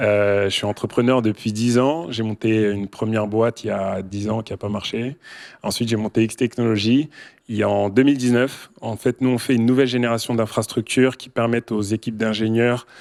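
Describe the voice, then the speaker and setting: Heard in a dry, close sound with no echo, a man at a medium pitch talks fairly quickly with fairly even intonation. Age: 30s. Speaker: tech company founder and CEO. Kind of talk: panel discussion. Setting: stage with audience.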